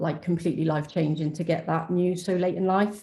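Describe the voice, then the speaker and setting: In a British accent, a woman speaks at a fairly quick pace, her fairly low voice dark and mellow in tone. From UK. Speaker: donor-conception advocate. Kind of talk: webinar panel testimony.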